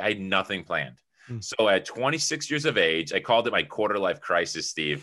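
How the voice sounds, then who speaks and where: Bright, sharp tone with an American accent, a fairly quick pace and very wide pitch swings. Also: man. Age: 30s. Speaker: entrepreneur and publisher. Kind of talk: interview.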